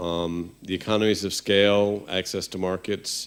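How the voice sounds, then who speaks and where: Heard in a very clean recording with a silent background, a man with a fairly low pitch uses an ordinary speaking voice at a moderate pace. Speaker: development bank water specialist. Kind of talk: conference presentation. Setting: conference.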